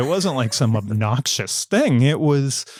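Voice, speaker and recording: In an ordinary speaking voice, a man with an American accent talks at a medium pitch with lively intonation. The recording is very clean with a silent background. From United States. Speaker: author. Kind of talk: podcast interview.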